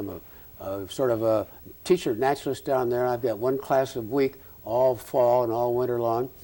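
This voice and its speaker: A man's dark, mellow voice at a medium pitch, with ordinary pitch variation. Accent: Midwestern US. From Nebraska, Omaha. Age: 70s. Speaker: retired ophthalmologist. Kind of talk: oral history interview. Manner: halting.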